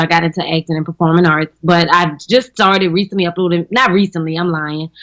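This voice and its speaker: Speaking with a strong New Orleans accent, a woman has a fairly low pitch and a bright, sharp tone. She talks at a fairly quick pace with ordinary pitch variation, recorded dry and close with no echo. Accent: thick New Orleans. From New Orleans, Louisiana. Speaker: comedian and actress. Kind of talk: casual chat. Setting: radio studio.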